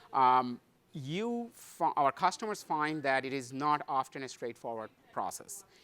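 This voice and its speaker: A man with an Indian accent speaks at a moderate pace with lively intonation on a very clean recording with a silent background. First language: Hindi. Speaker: tech conference speaker, solution architect. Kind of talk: conference talk. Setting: stage with audience. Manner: halting, many fillers.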